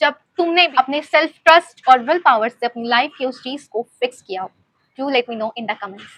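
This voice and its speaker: A woman's high, bright, sharp voice with lively intonation, moderate pace and a dry, close sound with no echo. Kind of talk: personal story, casual talk to camera. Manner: reflective, sincere.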